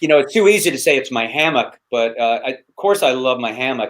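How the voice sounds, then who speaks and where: A man's plain, everyday voice with an American accent, fairly high pitch, moderate pace and lively intonation. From US South, North Carolina. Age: 60s. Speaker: hammock camping YouTuber and busker entertainer. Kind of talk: casual interview chat. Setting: live stream.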